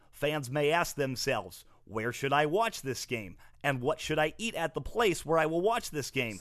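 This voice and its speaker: In a very clean recording with a silent background, a man with a fairly high, normal speaking voice talks at a fairly slow pace with lively intonation. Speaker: sports comedy podcast host, plays a fake marketing expert guest in a bit. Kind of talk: casual comedy banter with sketch bits.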